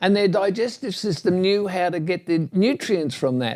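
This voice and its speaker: Here a man is speaking. His pitch is high. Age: 70s. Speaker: natural health advocate. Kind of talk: interview conversation. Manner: halting.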